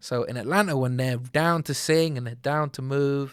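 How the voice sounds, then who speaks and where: In a British accent, a man speaks at a moderate pace and medium pitch on a very clean recording with a silent background. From Britain. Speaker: R&B singer. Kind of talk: casual interview. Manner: animated.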